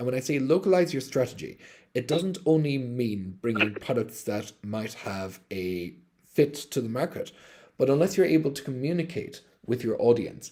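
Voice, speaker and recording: In an Irish accent, the speaker uses lively intonation and a dark, mellow tone, with big swings in loudness at a moderate pace. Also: man. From Ireland. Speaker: crypto company executive. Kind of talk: live-stream AMA.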